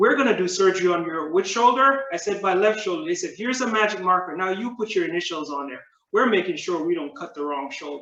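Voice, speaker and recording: A man's raised, projected voice, high in pitch, with lively intonation at a very fast pace. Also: hardly any pauses. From Jamaica. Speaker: public speaking club member. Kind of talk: prepared speech.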